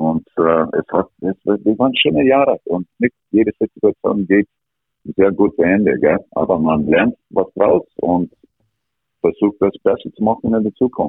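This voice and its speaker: A man with an English accent, at a fairly slow pace. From Canada, rural Alberta. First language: English (speaking German). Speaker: ice hockey coach. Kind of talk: interview. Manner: halting.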